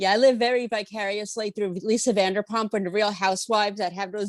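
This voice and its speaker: A woman's medium-pitched voice at a moderate pace with fairly even intonation, in a dry, close sound with no echo. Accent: New York. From New York. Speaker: interviewer. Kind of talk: interview.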